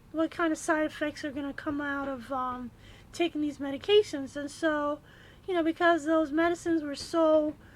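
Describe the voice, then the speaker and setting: Squeaky and high, a woman's voice moves at a moderate pace with fairly even intonation. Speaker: kidney patient vlogger. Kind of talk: personal testimony. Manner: halting, many fillers.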